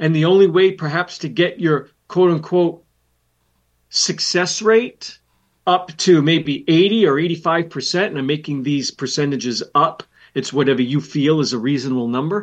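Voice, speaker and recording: With a fairly high pitch, a man speaks in an unremarkable speaking voice at a moderate pace with ordinary pitch variation, against a quiet background. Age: 60s. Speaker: financial planner and radio host. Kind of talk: educational talk show. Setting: studio.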